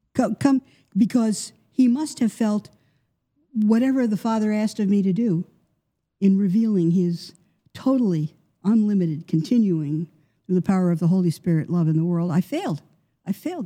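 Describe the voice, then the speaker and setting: A woman's somewhat breathy, dark, mellow voice of medium pitch with an American accent, moderate pace, lively intonation, long, frequent pauses and a dry, close sound with no echo. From US Northeast, New York. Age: 70s. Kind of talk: interview.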